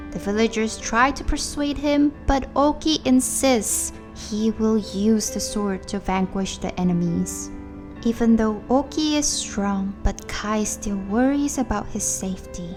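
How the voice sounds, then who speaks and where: A woman's fairly slow speech plays out against background music. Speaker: video game story narrator. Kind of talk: game story recap narration.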